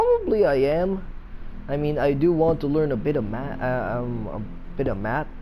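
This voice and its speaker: With audible room echo and noticeable background noise, a man talks in a fairly high pitch. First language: not English. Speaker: gaming YouTuber. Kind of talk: gameplay commentary. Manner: halting, stuttering; casual, filler-heavy.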